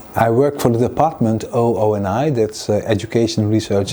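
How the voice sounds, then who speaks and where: Noticeable background noise sits behind the speaker. A man talks at a fairly quick pace with ordinary pitch variation. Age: 60s. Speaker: university program manager. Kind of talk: interview testimony.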